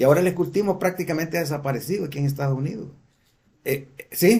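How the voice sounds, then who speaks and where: This man talks fairly quickly in a high pitch with ordinary pitch variation. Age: 60s. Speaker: church teacher. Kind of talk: lecture. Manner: halting.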